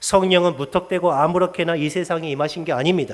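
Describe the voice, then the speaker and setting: This man speaks at a high pitch. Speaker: pastor. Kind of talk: sermon.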